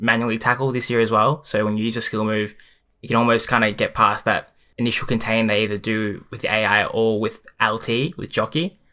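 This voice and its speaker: A man with an Australian accent talks at a moderate pace and medium pitch. His tone is bright and sharp, the intonation monotone and flat. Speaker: pro FIFA player. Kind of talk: casual chat. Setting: video call.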